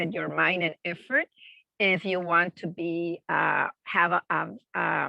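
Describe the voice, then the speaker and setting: Vocal fry runs through a woman's fairly low voice. She speaks with a Spanish accent. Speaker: family childcare provider. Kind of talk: presentation Q&A.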